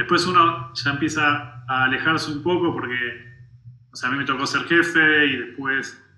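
A man with a fairly high pitch speaks with fairly even intonation, and audible room echo comes through. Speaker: tech engineering director. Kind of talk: interview. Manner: halting.

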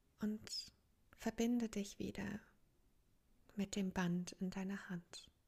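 Very slow, somewhat breathy delivery in a dark, mellow, calm and soothing tone, flat and monotone, with long, frequent pauses. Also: woman, medium pitch for a woman. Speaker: meditation coach. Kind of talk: guided meditation. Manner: calm, slow, soothing, with long pauses; gentle, inviting, addressing listener as du.

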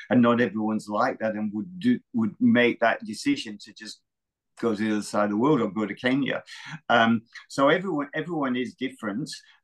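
Speaking fairly quickly with an Australian accent, a man of medium pitch shows ordinary pitch variation and big swings in loudness. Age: 60s. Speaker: retired marathon runner and running coach. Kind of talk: interview. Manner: halting, with many repetitions.

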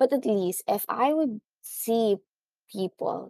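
The recording has a dry, close sound with no echo. A woman talks in a dark, mellow tone. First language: Tagalog. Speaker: podcast host. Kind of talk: casual monologue.

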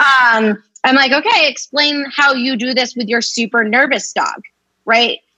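A woman with an American accent uses a raised, projected voice with a bright, sharp tone. Her pitch is high with ordinary variation, and her pace is fairly slow. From Boston area. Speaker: dog trainer. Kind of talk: casual chat.

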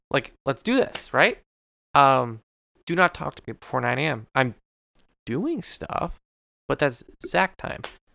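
With a playful tone, a man talks in a dry, close sound with no echo. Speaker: podcast co-host. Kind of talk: casual chat. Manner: fast talker, mumbles; joking, playful.

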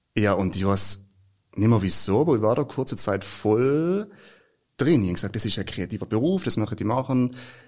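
A man with a normal speaking voice talks at medium pitch with lively intonation. The recording is very clean, with a silent background. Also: fairly quick pace. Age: 20s. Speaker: actor. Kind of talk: casual chat.

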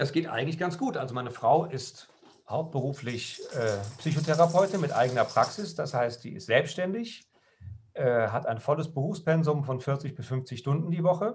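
A man with a fairly high pitch talks at a moderate pace, his intonation lively and his voice somewhat breathy. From western Germany, Lower Rhine (Krefeld). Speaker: pastor. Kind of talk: casual chat.

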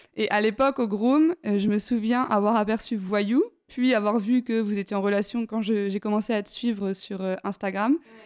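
An unremarkable speaking voice moves at a fairly slow pace with hardly any pauses and fairly even intonation, in a very clean recording with a silent background. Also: woman, fairly high pitch for a woman. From France, Besançon. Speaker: podcast host. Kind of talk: casual chat. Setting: at home, apartment. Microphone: poor sound quality.

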